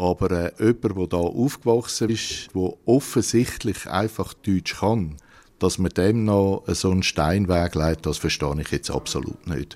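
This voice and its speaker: In a very clean recording with a silent background, a man with a very deep, low voice speaks at a fairly slow pace with ordinary pitch variation. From Horgen, canton Zurich, Switzerland. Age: 50s. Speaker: taxi driver. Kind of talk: interview.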